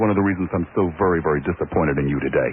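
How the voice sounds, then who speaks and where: A man speaks very fast in an angry tone, with ordinary pitch variation. Noticeable background noise runs underneath. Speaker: radio talk show host. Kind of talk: talk radio monologue. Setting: radio studio.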